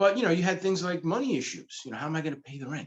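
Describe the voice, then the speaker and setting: A man with a fairly high pitch talks with vocal fry. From New York, the Bronx (Pelham Bay). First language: Spanish. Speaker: comic book creator. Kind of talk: interview. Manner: animated.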